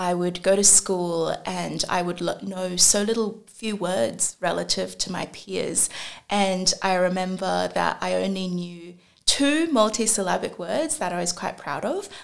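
Speaking at a fairly slow pace, this voice comes with an Australian accent. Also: woman. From China (Shenzhen) until age six, then Australia. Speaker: venture capital investor. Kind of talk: podcast interview.

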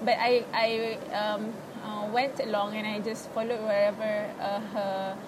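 A woman with a Malaysian accent, fairly high pitch and monotone, flat intonation, amid noticeable background noise and audible room echo. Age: 20s. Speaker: university student with OCD. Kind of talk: casual interview about personal experience. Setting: public space in a mall.

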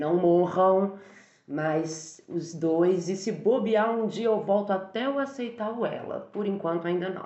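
Speaking at a very slow pace with ordinary pitch variation, a woman is heard with audible room echo. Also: medium pitch for a woman. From Brazil, Minas Gerais (Barbacena). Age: 30s. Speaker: university language teacher and translator. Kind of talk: casual interview.

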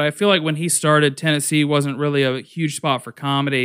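On a very clean recording with a silent background, a man with an American accent uses an ordinary speaking voice, fairly high in pitch and fairly quick in pace. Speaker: stand-up comedian. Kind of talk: casual interview.

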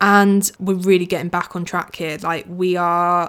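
Fairly slow delivery with fairly even intonation on a very clean recording with a silent background. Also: woman. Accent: British. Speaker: podcast host. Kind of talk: casual solo chat. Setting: home recording.

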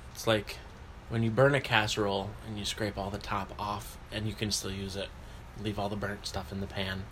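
A man's fairly low voice with vocal fry, ordinary pitch variation and a moderate pace. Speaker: podcast co-host. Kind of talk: casual chat.

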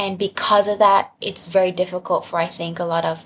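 Somewhat breathy and medium in pitch, a woman's voice moves at a moderate pace. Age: 20s. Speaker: sex-positive content creator and advocate. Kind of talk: casual chat.

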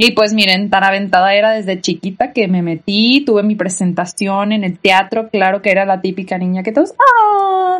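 A somewhat breathy woman speaks at a medium pitch. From Mexico, Tijuana. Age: 20s. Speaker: podcast host. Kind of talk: personal testimony. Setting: bedroom at home.

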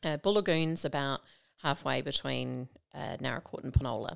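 With an Australian accent and vocal fry, a woman talks at a moderate pace in a very deep, low pitch, recorded very cleanly against a silent background. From South Australia, rural south-east. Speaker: state politician. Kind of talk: casual interview.

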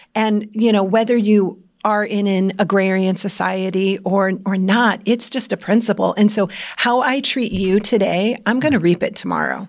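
A woman with an unremarkable speaking voice and an American accent talks at medium pitch and a moderate pace with fairly even intonation, on a very clean recording with a silent background. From Iowa, US Midwest. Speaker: podcast co-host, leadership consultant. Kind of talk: casual chat.

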